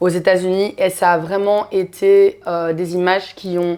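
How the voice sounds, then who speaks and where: This woman's medium-pitched voice stays monotone and flat throughout. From Belgium (Brussels), Congolese heritage. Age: 30s. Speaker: activist. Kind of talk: interview. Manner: hesitant, many fillers.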